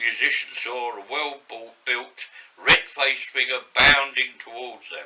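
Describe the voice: A text is read aloud in a plain manner.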